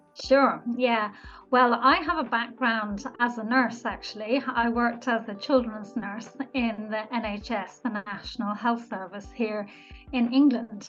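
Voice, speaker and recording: A woman with a slight Irish accent speaks fairly slowly in a fairly high voice. Her intonation stays fairly even over noticeable background noise. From Ireland. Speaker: nurse and business coach. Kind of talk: podcast interview.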